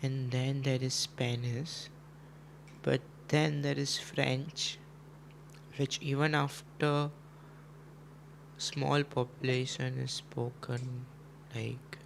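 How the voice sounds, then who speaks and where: A man with a Gujarati accent speaks very slowly at a medium pitch, somewhat breathy and monotone, with long, frequent pauses. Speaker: chess streamer. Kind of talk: casual live stream chat. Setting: live stream.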